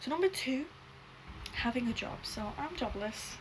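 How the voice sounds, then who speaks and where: A woman speaks at a moderate pace over noticeable background noise, with audible echo in the room. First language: not English. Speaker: YouTuber. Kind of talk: casual chat.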